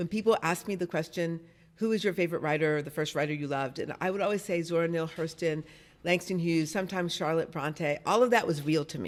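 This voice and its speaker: A woman with an American accent and a normal speaking voice talks at a fairly quick pace, with a fairly low pitch and ordinary pitch variation. The recording is very clean, with a silent background. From US Midwest, Detroit. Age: 60s. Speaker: novelist and songwriter. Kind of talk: interview.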